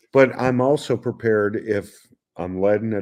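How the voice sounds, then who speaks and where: A man's dark, mellow voice with an American accent and ordinary pitch variation. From New York, Queens. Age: 60s. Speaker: hot pepper grower. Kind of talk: interview. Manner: energetic.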